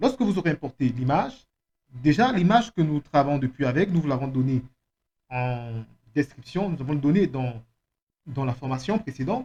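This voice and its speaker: A man with a non-native accent speaks in a fairly high pitch, somewhat breathy and with a dark, mellow tone. He leaves long, frequent pauses. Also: moderate pace. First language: not French (speaking French). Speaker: software trainer. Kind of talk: tutorial.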